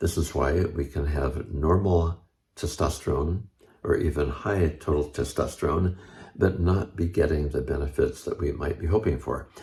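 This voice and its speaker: Recorded very cleanly against a silent background, a man with a very deep, low voice and a dark, mellow tone speaks with vocal fry and fairly even intonation. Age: 70s. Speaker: health and longevity video host. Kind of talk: informational talk to camera.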